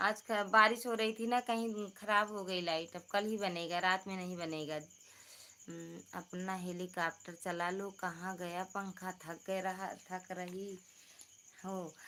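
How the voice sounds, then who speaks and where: Soft-spoken and very slow, the voice has a bright, sharp tone and fairly even intonation. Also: woman, medium pitch for a woman. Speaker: livestreamer, folk singer. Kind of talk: casual live stream chat. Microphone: too quiet.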